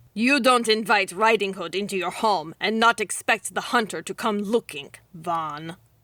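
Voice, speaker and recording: A woman's put-on character voice in a strong Russian accent. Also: medium pitch for a woman, moderate pace. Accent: thick Russian. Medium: read story. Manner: cold, imperious.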